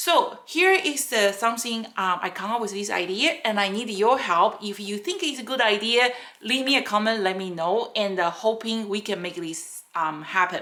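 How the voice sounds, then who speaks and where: A woman with a non-native accent, at a moderate pace. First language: not English. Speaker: rubber stamp maker and craft tutor; craft tutor. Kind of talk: craft tutorial. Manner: halting, many fillers. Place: workshop.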